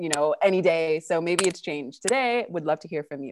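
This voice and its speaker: A woman with a Californian accent talks at a very fast pace. Her tone is animated and upbeat, with lively intonation. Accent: American, California. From California, US. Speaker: online event host. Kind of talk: live virtual chat hosting. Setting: video call with live audience. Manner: animated, upbeat.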